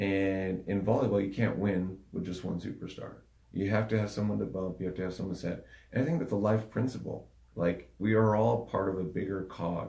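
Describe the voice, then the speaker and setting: Audible room echo surrounds a man speaking at a fairly quick pace with a fairly low pitch. His tone is dark, mellow and somewhat breathy, with ordinary pitch variation. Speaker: podcast co-host, coach. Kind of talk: casual podcast chat. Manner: soft-spoken.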